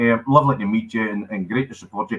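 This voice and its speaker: The voice has a strong Scottish accent, a bright, sharp tone and a fairly quick pace. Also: man. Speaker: comedian, actor and wildlife ranger. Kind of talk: casual chat. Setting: live online show.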